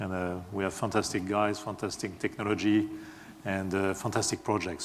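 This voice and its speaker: A man with a French accent speaks amid noticeable background noise, his voice carrying audible room echo. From France. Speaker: software engineer, conference speaker. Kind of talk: conference talk. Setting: stage with audience. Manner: hesitant, many fillers.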